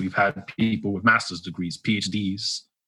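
A man in a New York accent speaks at a moderate pace, his bright, sharp tone set at a fairly low pitch with fairly even intonation. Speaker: grocery store worker; former Marine. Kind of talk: casual phone interview.

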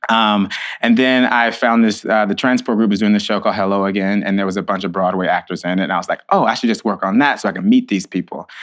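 With an American accent, a man speaks very fast at a fairly low pitch, with fairly even intonation and hardly any pauses. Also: quiet background. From Texas (Hockley, near Houston). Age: 30s. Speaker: stage manager. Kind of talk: interview conversation.

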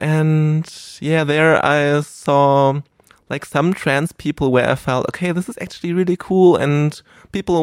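Fairly high-pitched male voice with a German accent, ordinary pitch variation and a moderate pace, in a very clean recording with a silent background and a dry, close sound with no echo. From Germany (rural). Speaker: adult film performer. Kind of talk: casual chat. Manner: rambling.

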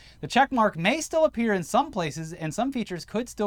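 An animated man speaks at a very fast pace, his pitch swinging very widely. Noticeable background noise is present. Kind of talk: wrestling announcer parody. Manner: animated, over-the-top, tongue-in-cheek.

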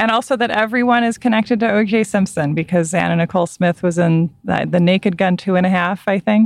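A woman's normal speaking voice at medium pitch, with ordinary pitch variation and very even loudness. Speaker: podcast host and writer. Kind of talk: casual chat. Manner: calm.

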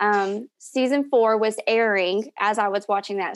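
Against a quiet background, the speaker uses a Southern US accent at a moderate pace with ordinary pitch variation. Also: woman. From Tennessee, Knoxville. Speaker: fan of a TV show, stay-at-home mom. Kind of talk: casual chat.

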